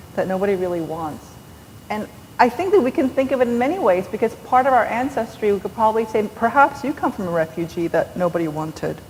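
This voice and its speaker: Speech in a Korean accent moves at a fairly quick pace with very wide pitch swings over noticeable background noise. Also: woman. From New York. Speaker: novelist. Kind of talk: onstage interview. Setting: stage with audience. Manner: animated.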